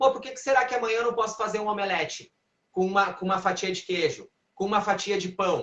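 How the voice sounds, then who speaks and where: A man's high, animated voice at a very fast pace. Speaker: physical education trainer. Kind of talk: live stream Q&A.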